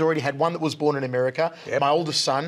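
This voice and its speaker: Talking at a very fast pace, a man with an Australian accent shows ordinary pitch variation. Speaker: combat sports commentator. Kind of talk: casual chat. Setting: studio. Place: studio. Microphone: lapel.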